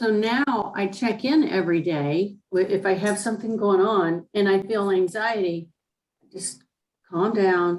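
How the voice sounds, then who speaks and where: A woman speaks in an unremarkable speaking voice, her pitch medium and her pitch variation ordinary. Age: 60s. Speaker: class participant. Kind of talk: class Q&A.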